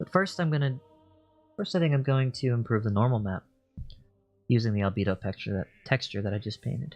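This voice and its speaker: Soft-spoken and mumbling, a man of medium pitch talks at a fairly quick pace with lively intonation and long, frequent pauses, in a dry, close sound with no echo and music in the background. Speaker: 3D artist streamer. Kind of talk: tutorial. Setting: live stream. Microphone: too quiet.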